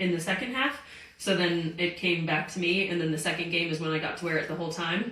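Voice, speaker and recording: Against noticeable background noise and audible room echo, a woman speaks fairly quickly in a fairly low voice. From US South, Greenville, South Carolina. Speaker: professional soccer player. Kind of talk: interview. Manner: animated.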